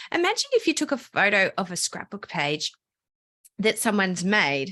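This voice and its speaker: The woman has an Australian accent. Her tone is bright and sharp. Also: dry, close sound with no echo. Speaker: digital scrapbooking teacher. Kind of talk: podcast interview.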